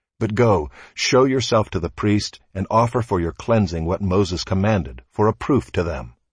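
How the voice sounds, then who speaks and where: A man's fairly low, solemn voice with vocal fry and lively intonation, against a quiet background. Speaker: scripture reader. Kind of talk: scripture reading; liturgical reading in a prayer service. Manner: slow, measured, solemn; formal, reverent.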